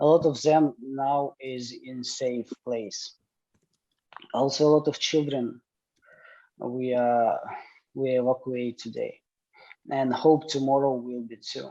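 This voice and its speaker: A man's dark, mellow voice at medium pitch, very slow and monotone, with long, frequent pauses and big swings in loudness. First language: Ukrainian or Russian. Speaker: panelist from Ukraine. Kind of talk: testimony. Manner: halting.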